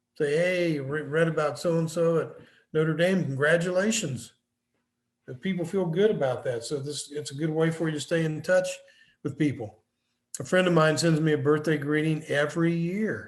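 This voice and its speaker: A man with a fairly high voice speaks at a moderate pace. His intonation is fairly even, and the room echo is audible. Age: 70s. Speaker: business consultant and professor. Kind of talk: lecture.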